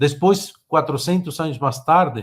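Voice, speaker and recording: Speaking with a Spanish accent, a man keeps a fairly slow pace. His pitch sits high. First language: Spanish (speaking Portuguese). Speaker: technology speaker. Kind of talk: webinar presentation. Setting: online webinar. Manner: halting.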